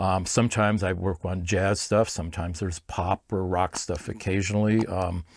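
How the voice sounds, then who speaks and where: Monotone, flat delivery in a Californian accent with hardly any pauses, on a very clean recording with a silent background. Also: man, very deep, low pitch for a man, moderate pace. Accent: General American (Californian). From US West Coast, Los Angeles. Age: 60s. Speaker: film orchestrator and arranger. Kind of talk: interview. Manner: hesitant, many fillers and restarts.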